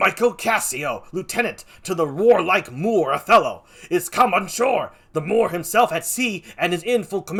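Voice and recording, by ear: Reading aloud in a natural voice is what this recording holds.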